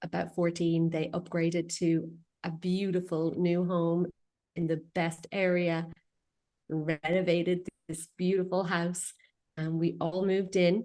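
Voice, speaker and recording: In an Irish accent, a woman speaks fairly slowly in a fairly low, monotone voice with flat intonation and long, frequent pauses. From west coast of Ireland. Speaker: feng shui consultant. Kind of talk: interview.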